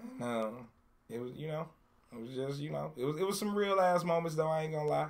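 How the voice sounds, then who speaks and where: This man speaks at a fairly quick pace with an American accent. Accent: Detroit accent, noticeable to outsiders. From Detroit, US. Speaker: hip hop artist. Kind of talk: interview. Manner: laid back.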